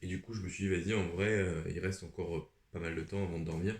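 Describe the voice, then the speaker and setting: A man with a very deep, low pitch and a somewhat breathy voice moves at a fairly quick pace, his intonation fairly even. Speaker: booktuber. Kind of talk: casual vlog talk. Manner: hesitant, many fillers.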